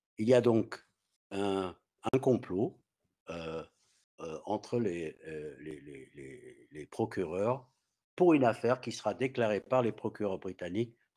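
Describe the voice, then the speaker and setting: A man with a dark, mellow tone and fairly low pitch, very slow with long, frequent pauses, lively in intonation and swinging widely in loudness, against a quiet background. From Australia. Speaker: activist and citizen journalist; guest. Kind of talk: talk; lecture. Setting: video call.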